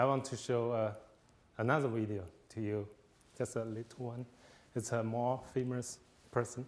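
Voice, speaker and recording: A man with a Chinese accent at medium pitch, monotone and flat, at a moderate pace broken by long, frequent pauses. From China. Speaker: visiting fellow speaker. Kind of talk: lecture. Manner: halting, many fillers.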